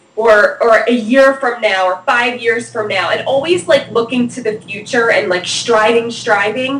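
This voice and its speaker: With noticeable background noise, a woman with a fairly high pitch speaks at a fairly slow pace with hardly any pauses and ordinary pitch variation. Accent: New Jersey. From New Jersey, US. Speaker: PR expert. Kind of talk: interview. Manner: casual, slangy.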